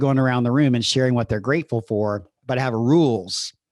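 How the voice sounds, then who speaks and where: This man has a medium pitch and speaks at a fairly quick pace. His intonation stays fairly even against a quiet background. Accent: Southern US. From US South. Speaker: podcast host and coach. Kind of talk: solo podcast monologue. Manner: conversational.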